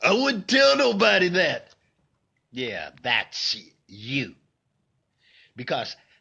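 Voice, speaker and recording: A man with a bright, sharp tone and a high pitch. His pitch swings very widely at a fairly slow pace. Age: 60s. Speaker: vlogger sharing life story. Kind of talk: personal monologue vlog. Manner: repetitive, emphatic.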